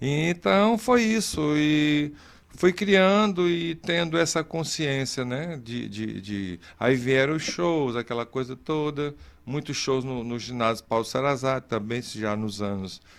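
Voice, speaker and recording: A voice with very wide pitch swings, speaking at a very slow pace. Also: man, medium pitch for a man. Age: 60s. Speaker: interview guest, artist. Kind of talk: casual interview chat.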